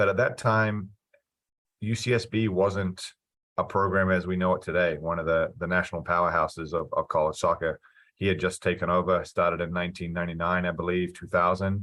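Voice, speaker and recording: A man with a New Zealand accent speaks at a fairly quick pace. His very deep, low pitch stays in a fairly even intonation. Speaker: college soccer coach. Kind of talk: interview.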